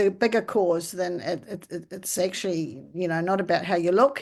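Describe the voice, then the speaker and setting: With a New Zealand accent, a woman speaks at a fairly slow pace with fairly even intonation against a quiet background. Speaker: charity founder. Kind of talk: interview answer.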